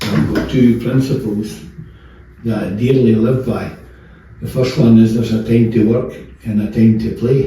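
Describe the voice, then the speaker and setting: Amid noticeable background noise and audible room echo, a man with a Scottish accent speaks in a medium pitch at a moderate pace, with fairly even intonation and long, frequent pauses. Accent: Scottish (Fife). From Scotland, Fife. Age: 70s. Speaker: football manager. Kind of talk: interview. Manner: halting, many fillers.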